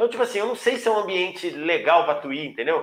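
A man's voice, high in pitch. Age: 40s. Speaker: football commentator. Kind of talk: interview.

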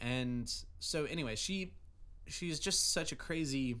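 With an American accent, a man speaks in a bright, sharp tone at a fairly high pitch, his intonation lively against audible room echo. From Oregon. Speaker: music student. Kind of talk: testimony.

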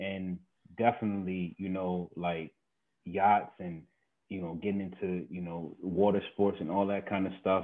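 A man talks at a moderate pace in a very deep, low pitch with monotone, flat intonation. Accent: American. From Maryland, near Washington D.C. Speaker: urban farm founder. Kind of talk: podcast interview.

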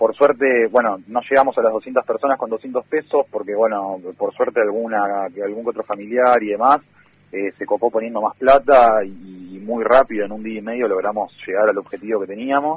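A man talks in a Rioplatense accent with hardly any pauses. His pitch is medium and his intonation fairly even. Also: moderate pace. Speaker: community radio journalist. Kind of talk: interview.

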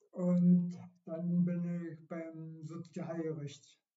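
The man's high-pitched voice comes with audible room echo. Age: 70s. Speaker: retired amateur runner. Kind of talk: casual interview. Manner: halting.

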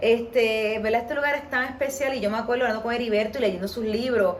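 A woman with a fairly high pitch speaks at a fairly quick pace, keeping her intonation fairly even. Audible room echo and noticeable background noise surround her voice. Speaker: podcast host and tour guide. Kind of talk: podcast interview. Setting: on location at guest's home.

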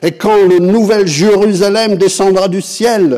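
A man's high-pitched voice at a very slow pace. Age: 60s. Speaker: pastor. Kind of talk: sermon.

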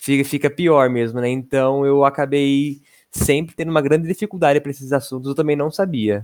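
With fairly even intonation and a moderate pace, a man speaks at a fairly high pitch. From São Paulo state interior, Brazil. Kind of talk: casual chat.

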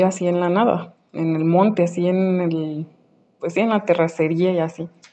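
A woman's ordinary speaking voice, fairly low in pitch, at a moderate pace. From Mexico, Aguascalientes. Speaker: listener sharing a story. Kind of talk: recorded voice message anecdote. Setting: voice note.

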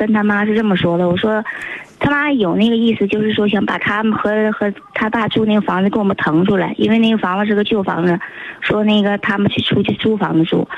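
Against noticeable background noise, a woman at medium pitch talks fairly quickly with fairly even intonation and very even loudness. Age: 20s. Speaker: radio call-in listener. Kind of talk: phone-in conversation about relationship problem.

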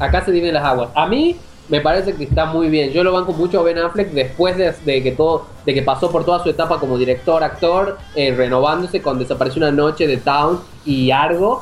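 With noticeable background noise behind him, a man speaks at a fairly quick pace in a fairly high pitch, with ordinary pitch variation and very even loudness. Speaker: film website founder. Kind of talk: casual chat.

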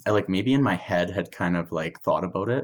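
On a very clean recording with a silent background, a man with a Canadian prairie accent speaks with lively intonation. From Saskatchewan, Canada. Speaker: former college hockey player. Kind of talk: casual interview.

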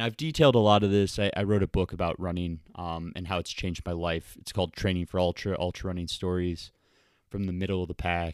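The recording is very clean, with a silent background. A man with an American accent speaks at a very fast pace in a very deep, low pitch with fairly even intonation. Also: dry, close sound with no echo. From US Midwest (Ohio, Michigan, Wisconsin), later Florida. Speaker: ultramarathon runner and author. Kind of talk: recorded personal story answering emailed questions.

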